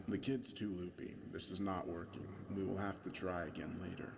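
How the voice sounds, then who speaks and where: A booming, put-on character voice from a man at a moderate pace, set against loud background noise. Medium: read story. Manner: harsh, hot-tempered.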